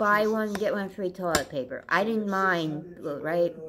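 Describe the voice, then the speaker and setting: Ordinary pitch variation from a woman, with noticeable background noise. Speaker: vlogger. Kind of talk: casual vlog chat. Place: home room. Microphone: phone near.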